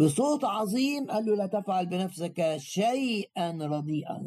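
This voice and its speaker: A man's very slow speech with lively intonation. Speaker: preacher. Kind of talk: sermon.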